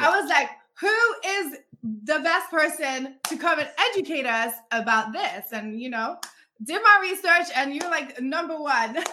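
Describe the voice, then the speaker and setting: Raising and projecting her high-pitched voice, a woman speaks at a fairly slow pace in a bright, sharp, animated tone with lively intonation. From Africa, raised; lived in London. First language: not English. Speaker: podcast host. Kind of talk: casual interview.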